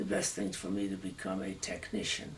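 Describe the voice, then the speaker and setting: A man's very deep, low voice with an American accent, at a moderate pace, amid noticeable background noise and audible room echo. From Massachusetts, US. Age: 80s+. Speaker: war veteran. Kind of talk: oral history interview.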